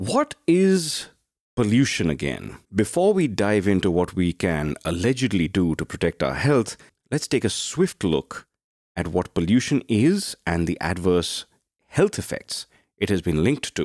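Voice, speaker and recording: In a very clean recording with a silent background and a dry, close sound with no echo, a man with a fairly low pitch speaks at a fairly slow pace with very wide pitch swings. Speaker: podcast host. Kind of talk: scripted narration.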